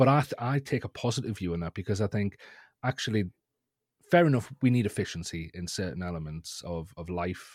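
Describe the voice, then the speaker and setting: Fairly low-pitched, a man with a northeast English accent speaks at a fairly quick pace with very wide pitch swings and big swings in loudness, in a dry, close sound with no echo on a very clean recording with a silent background. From northeast England. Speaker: education technology lead and guest. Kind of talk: interview discussion. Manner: hesitant, repeats words.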